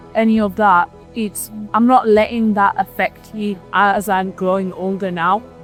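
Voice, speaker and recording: Music plays in the background as a woman at a medium pitch speaks at a fairly slow pace with fairly even intonation. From Manchester, England. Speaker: interviewee. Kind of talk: interview answer.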